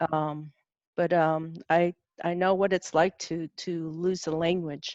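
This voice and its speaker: A woman speaks very slowly with a Southwestern US accent, her pitch fairly low and her intonation fairly even. The sound is dry and close with no echo, over a quiet background. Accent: Navajo-accented English. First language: Navajo. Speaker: cultural presenter. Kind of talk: online presentation Q&A. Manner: halting.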